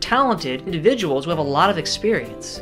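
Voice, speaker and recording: Over music in the background, a man talks at a very fast pace with a high pitch. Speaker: aspiring actor, vlogger. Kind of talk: casual talk to camera.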